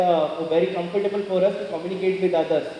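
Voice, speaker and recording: A man with a high-pitched voice speaks very fast, with audible room echo and noticeable background noise. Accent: Haryana. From Haryana, India. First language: Haryanvi. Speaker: motivational speaker. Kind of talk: motivational speech. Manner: earnest.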